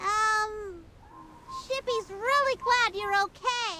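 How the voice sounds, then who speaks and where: In a put-on character voice, the speaker draws out words at a very slow pace and an extremely high pitch. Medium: video game. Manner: refers to self in third person.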